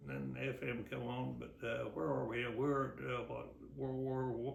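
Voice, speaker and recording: Speaking at a fairly slow pace with a Midwestern US accent, a man is heard through noticeable background noise and audible room echo. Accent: rural Midwestern American. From Kansas, West Mineral. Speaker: local elder recounting family history. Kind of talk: oral history interview. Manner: halting.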